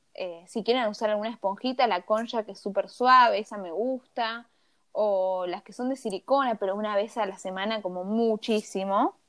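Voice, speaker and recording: A woman with an unremarkable speaking voice talks at a moderate pace and a fairly high pitch, with fairly even intonation. Her loudness swings widely against a quiet background. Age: 20s. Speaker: cosmetologist and skincare influencer. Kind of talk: casual interview.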